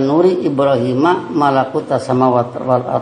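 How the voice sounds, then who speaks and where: A man talks at a fairly slow pace with ordinary pitch variation. Audible room echo and noticeable background noise fill the recording. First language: Sundanese (speaking Indonesian). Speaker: preacher. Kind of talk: sermon. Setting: mosque.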